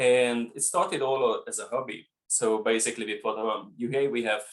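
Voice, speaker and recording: A man speaks with a Hungarian accent. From Hungary. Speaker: winemaker. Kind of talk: interview.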